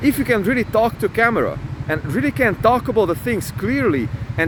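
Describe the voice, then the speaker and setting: A man with a non-native accent talks at a fairly quick pace in a high pitch, with an animated tone, very wide pitch swings and noticeable background noise. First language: not English. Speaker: self-improvement vlogger. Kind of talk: motivational talk to camera. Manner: halting.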